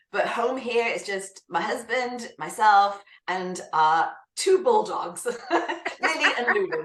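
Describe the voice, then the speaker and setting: In a British accent, the speaker goes at a very slow pace with very wide pitch swings. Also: woman, fairly high pitch for a woman. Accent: British accent, kept. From UK. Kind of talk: interview.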